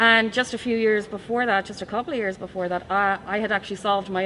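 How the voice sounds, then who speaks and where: Bright, sharp tone from a woman with an Irish accent, medium pitch and fairly even intonation. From Ireland. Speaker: forensic science professor. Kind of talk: interview.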